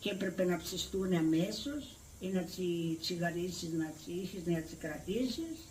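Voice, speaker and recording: A woman's medium-pitched voice with ordinary pitch variation and noticeable background noise. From Crete, Greece. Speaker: village elder recounting memories. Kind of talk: oral history interview answer.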